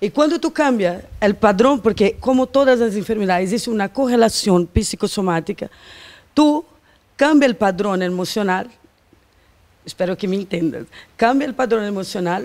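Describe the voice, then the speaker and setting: A woman with a Portuguese accent at a moderate pace. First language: Portuguese (speaking Spanish). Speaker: quantum therapist; interview guest. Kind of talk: casual chat. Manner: halting. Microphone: handheld.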